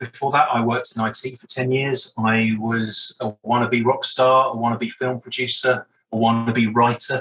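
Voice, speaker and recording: Speaking with a southern English accent, a man has a bright, sharp tone and medium pitch, a monotone, flat intonation, hardly any pauses and big swings in loudness. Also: moderate pace. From southern England, Brighton. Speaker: breathwork coach. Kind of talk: interview.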